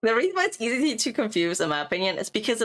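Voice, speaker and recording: This woman's voice moves through very wide pitch swings. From Germany. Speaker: vtuber streamer. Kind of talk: tutorial. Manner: repetitive, drilling.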